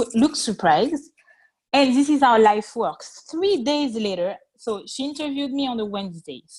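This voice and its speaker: Very wide pitch swings in a French accent at a moderate pace. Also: woman. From France. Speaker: interview guest. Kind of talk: interview. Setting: call.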